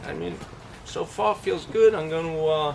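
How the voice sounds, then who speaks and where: Noticeable background noise behind a man at a moderate pace, fairly high in pitch, with very wide pitch swings. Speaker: boat repair DIY reviewer. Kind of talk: casual product review tutorial. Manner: halting, many fillers and repeats.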